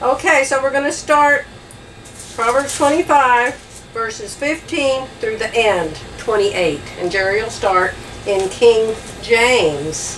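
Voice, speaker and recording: With an American accent, a woman speaks very slowly at a fairly high pitch, her voice swinging very widely in pitch. Audible room echo and noticeable background noise fill the recording. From Phoenix, Arizona. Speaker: Bible study co-host. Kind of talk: Bible study. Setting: motorhome.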